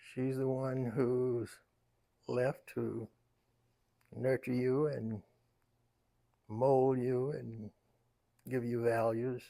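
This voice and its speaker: A man with an American accent speaks very slowly at medium pitch, his tone dark and mellow, his intonation flat and monotone, with long, frequent pauses. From US South, Raleigh, North Carolina. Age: 90s. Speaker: elder interviewee. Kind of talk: life story interview.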